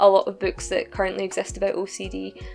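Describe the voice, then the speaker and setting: A woman speaks with a Scottish accent at a fairly quick pace. Music plays in the background. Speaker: novelist. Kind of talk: interview answer.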